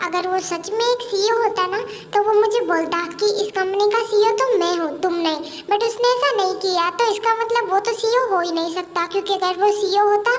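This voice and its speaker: A woman's put-on character voice, extremely high in pitch and fairly quick, against clear background noise. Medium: read story. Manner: brisk, scolding.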